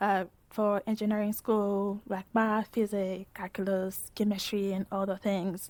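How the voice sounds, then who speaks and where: A woman's voice at a fairly slow pace, very cleanly recorded against a silent background, the sound dry and close with no echo. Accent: French-speaking African. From West Africa, French-speaking country. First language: French. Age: 20s. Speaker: PhD student in engineering. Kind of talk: interview testimony. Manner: hesitant, repetitive.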